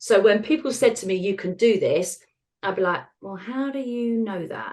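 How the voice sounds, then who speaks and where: A woman with an English accent speaks at a fairly high pitch. Her volume rises and falls sharply. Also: ordinary pitch variation. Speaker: retired osteopath and author. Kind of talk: interview. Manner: fast; animated.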